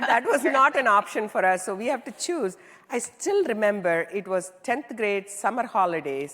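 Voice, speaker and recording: A woman with an Indian accent talks at a moderate pace and fairly high pitch, her pitch swinging very widely. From southern India, small town. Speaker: tech executive (CIO). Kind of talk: onstage interview.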